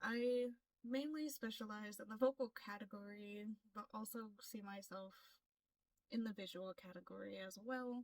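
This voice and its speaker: Here a woman with an American accent uses an ordinary speaking voice, fairly high in pitch. She keeps a moderate pace with ordinary pitch variation. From US, Florida. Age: 20s. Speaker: K-pop audition applicant, aspiring singer. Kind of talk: self-introduction vlog.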